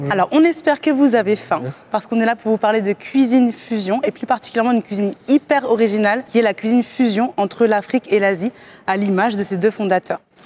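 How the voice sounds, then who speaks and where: A woman speaks at a very fast pace with a fairly high pitch and ordinary pitch variation. The sound is dry and close, with no echo. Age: 20s. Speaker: entrepreneur pitching a startup. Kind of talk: startup pitch and interview.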